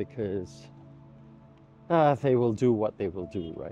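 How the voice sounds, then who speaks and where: Over faint background music, a man talks at a fairly low pitch in a dry sound with no echo. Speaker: vlogger. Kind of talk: casual vlog chat. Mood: reflective. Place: street. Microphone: lapel.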